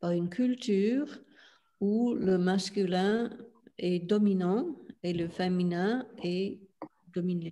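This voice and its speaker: With an English accent, a woman talks in a dark, mellow tone with ordinary pitch variation. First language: English (speaking French). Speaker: spiritual teacher. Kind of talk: interview. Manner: halting, many hesitations.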